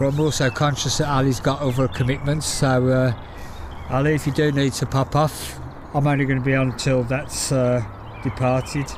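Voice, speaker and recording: Speaking with a Birmingham accent, a man keeps a moderate pace and very even loudness. His intonation is monotone and flat, with noticeable background noise. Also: medium pitch for a man. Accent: Brummie. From Birmingham, England. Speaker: plane-spotting livestreamer. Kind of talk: live stream commentary. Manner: casual, chatty.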